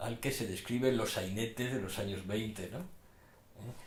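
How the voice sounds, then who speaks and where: A man speaks at a fairly slow pace with lively intonation. Audible room echo is present. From Madrid, Spain. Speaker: poet. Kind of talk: interview. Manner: halting.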